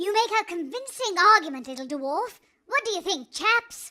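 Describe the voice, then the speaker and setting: A squeaky, female-sounding put-on character voice, extremely high in pitch, at a moderate pace. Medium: audio drama.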